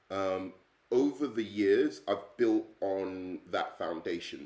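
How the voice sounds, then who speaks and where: A man with an English accent speaks at a very slow pace. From England. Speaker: English teacher. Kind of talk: self-introduction video. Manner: hesitant, many fillers.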